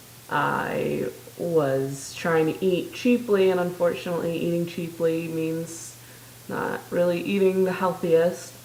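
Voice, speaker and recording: Through audible room echo and noticeable background noise, a woman speaks very slowly at a fairly low pitch with fairly even intonation. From US Midwest (South Dakota). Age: 20s. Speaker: vlogger. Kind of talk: casual video diary. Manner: hesitant, many filler ums.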